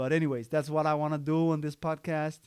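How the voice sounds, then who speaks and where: A man with a Danish accent speaks at a fairly quick pace and a fairly high pitch. The sound is dry and close, with no echo. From Denmark, Copenhagen (Amager). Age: 30s. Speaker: podcaster. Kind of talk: casual monologue. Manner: halting, with many fillers and restarts.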